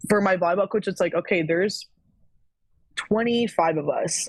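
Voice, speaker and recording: At a medium pitch and moderate pace, a woman speaks in a plain, everyday voice with an American accent and ordinary pitch variation. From Florida. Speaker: former college athlete. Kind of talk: casual chat.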